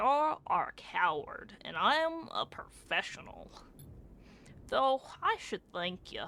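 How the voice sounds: Putting on a character voice, a woman speaks fairly slowly at a high pitch, her loudness swinging widely.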